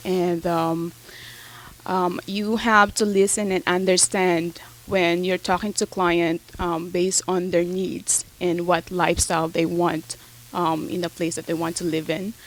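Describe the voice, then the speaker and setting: Someone with a Filipino accent talks at a fairly slow pace over noticeable background noise. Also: woman. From Philippines. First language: Tagalog. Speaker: real estate agent. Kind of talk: interview. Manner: hesitant, many fillers.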